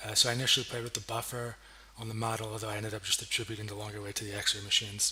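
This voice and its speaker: Talking at a very fast pace in a fairly low, monotone, flat voice, a man is heard over noticeable background noise. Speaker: graduate student. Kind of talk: academic project presentation. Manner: hesitant, many fillers.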